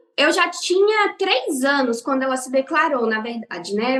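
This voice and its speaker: The woman speaks at a fairly slow pace. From Brazil, interior of São Paulo state and several cities. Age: 20s. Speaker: podcast guest, religious pioneer. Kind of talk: casual interview.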